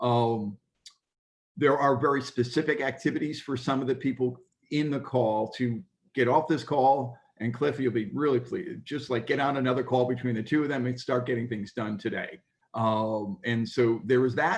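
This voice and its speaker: A man speaks at medium pitch, and his pitch varies in an ordinary way. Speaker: workshop leader at impact investment conference. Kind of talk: conference report-back on video call. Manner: fast.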